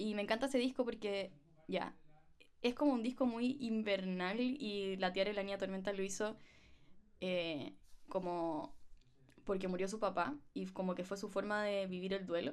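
With a Chilean accent, a woman speaks at a medium pitch with ordinary pitch variation and long, frequent pauses. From Chile, provinces. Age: 20s. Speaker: podcast host and musician. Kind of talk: casual chat.

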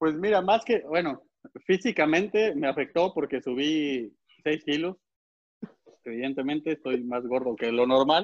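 The speech moves at a fairly slow pace, broken by long, frequent pauses, with lively intonation. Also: man, fairly high pitch for a man. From Puebla, Mexico. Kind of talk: casual chat.

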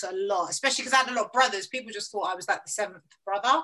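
A woman of medium pitch speaks in a South London accent with ordinary pitch variation. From south east London, Lewisham. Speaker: radio presenter and producer. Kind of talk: casual interview chat.

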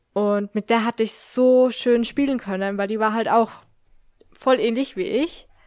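In a normal speaking voice, a woman with a fairly high pitch and fairly even intonation talks at a moderate pace on a very clean recording with a silent background and a dry, close sound with no echo. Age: 20s. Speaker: podcast co-host. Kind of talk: casual chat.

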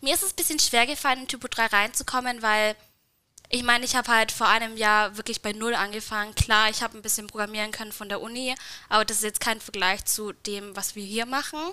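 Her bright, sharp voice swings widely in loudness as this woman talks at a fairly quick pace with fairly even intonation. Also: fairly high pitch for a woman. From Bavarian Swabia, Nördlingen. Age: 20s. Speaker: working student at an agency. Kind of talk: casual interview.

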